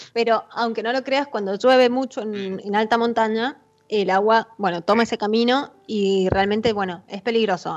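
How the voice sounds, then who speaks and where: A normal speaking voice moves at a moderate pace with hardly any pauses. Its intonation stays fairly even. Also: woman. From Argentina, Mendoza. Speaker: winemaker. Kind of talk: interview. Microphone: too quiet at first.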